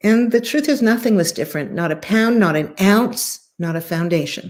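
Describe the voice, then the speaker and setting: Moderate speed and lively intonation in a woman's voice of medium pitch. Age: 60s. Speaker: former TV host and spiritual speaker. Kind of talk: interview chat. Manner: animated.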